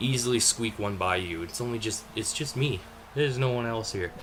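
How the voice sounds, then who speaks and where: Noticeable background noise runs under a man speaking at a medium pitch with fairly even intonation. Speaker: gaming commentator. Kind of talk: gameplay commentary. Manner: hesitant, many fillers; casual, conversational.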